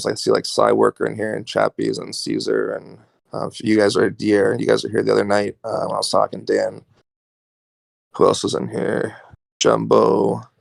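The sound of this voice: Using a raspy, put-on character voice, a man delivers his lines at a moderate pace.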